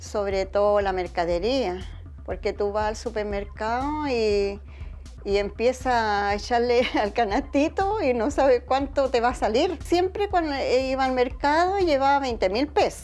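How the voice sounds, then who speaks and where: A woman with a Chilean accent speaks at a fairly slow pace. Her fairly high voice has lively intonation. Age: 70s. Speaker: retiree. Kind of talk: interview.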